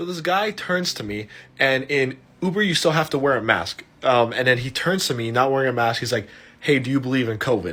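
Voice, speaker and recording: Bright, sharp and animated, a man's voice moves at a fairly quick pace. His intonation is lively. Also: medium pitch for a man. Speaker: storyteller vlogger. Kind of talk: storytime monologue. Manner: animated, casual.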